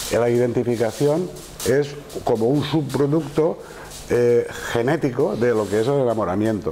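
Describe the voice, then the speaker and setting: A man at a fairly slow pace, very even in loudness, with light background noise. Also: ordinary pitch variation. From Spain. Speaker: psychiatrist lecturer. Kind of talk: lecture. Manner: halting. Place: classroom. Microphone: lapel.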